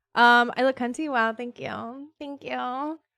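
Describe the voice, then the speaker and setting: A woman speaks loudly in a high pitch with a bright, sharp tone. The recording is very clean, with a silent background and a dry, close sound without echo. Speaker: streamer. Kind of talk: casual chat. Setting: live stream. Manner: chatty.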